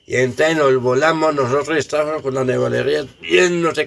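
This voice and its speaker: A plain, everyday voice from a man at medium pitch, fairly quick, with ordinary pitch variation. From Colombia, Samaná, Caldas. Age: 60s. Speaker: elderly villager sharing memories. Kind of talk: oral history testimony.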